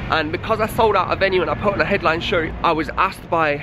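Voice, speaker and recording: Amid noticeable background noise, a man with an East Midlands accent talks very fast at a high pitch with fairly even intonation. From Leicester, England. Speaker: busker and singer-songwriter. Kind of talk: vlog narration. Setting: in a car then walking outdoors.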